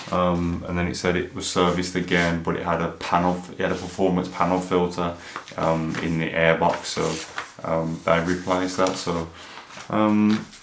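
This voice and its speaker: With an English accent, a man mumbles at a moderate pace in a very deep, low voice. Audible room echo and noticeable background noise surround him. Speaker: car YouTuber. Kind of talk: casual vlog. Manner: monotone; mumbling.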